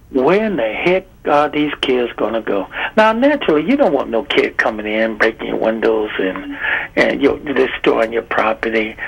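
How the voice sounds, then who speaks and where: Noticeable background noise behind a man's moderately paced speech. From Chicago South Side. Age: 60s. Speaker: caller. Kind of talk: call-in comment. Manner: animated, casual.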